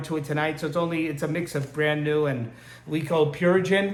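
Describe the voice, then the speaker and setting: Noticeable background noise and audible room echo accompany a man's speech. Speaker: aquarium hobbyist. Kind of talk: tutorial. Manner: hesitant, many fillers.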